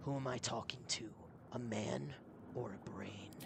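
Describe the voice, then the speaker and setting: Over loud background noise, a gruff, low-pitched, put-on character voice speaks at a moderate pace. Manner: menacing.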